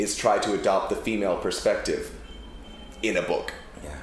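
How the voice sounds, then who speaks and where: A man's voice with noticeable background noise. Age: 30s. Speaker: novelist, former publisher. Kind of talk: bookshop author interview. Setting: bookshop event with small audience.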